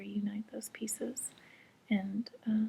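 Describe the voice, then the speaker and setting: Soft-spoken and somewhat breathy, a woman talks at a fairly high pitch with a dark, mellow tone. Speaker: intuitive reader. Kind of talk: spiritual reading talk to camera. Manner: quiet, soft-spoken.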